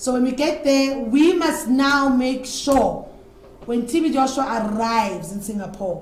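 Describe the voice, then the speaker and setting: A woman speaks at a fairly slow pace in a high voice with ordinary pitch variation. Noticeable background noise and audible room echo surround her. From South Africa. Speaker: former church disciple sharing experiences. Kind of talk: interview testimony.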